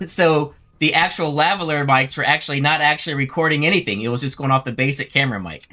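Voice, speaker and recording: At a very fast pace, a man speaks with a fairly high pitch and ordinary pitch variation. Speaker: gaming YouTuber. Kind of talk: livestream chat. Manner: loud.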